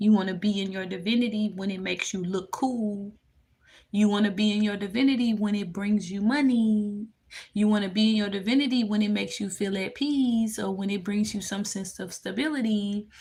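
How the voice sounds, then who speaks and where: A woman with a Memphis accent, dark, mellow tone, somewhat breathy delivery, fairly even intonation and fairly quick pace. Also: medium pitch for a woman. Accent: US Southern (Memphis). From Memphis, Tennessee. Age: 20s. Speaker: spiritual tarot reader livestreamer. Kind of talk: livestream reading and chat. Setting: live stream.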